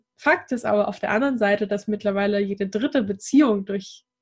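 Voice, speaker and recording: Medium in pitch and somewhat breathy, this woman's voice moves at a moderate pace. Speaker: dating coach for singles. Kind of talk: casual interview.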